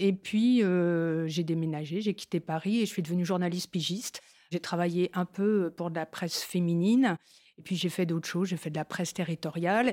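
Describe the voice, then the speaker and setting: Speaking in a normal speaking voice, a woman with a fairly low pitch keeps a moderate pace and fairly even intonation on a very clean recording with a silent background. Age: 60s. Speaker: media founder. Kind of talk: casual chat. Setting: studio.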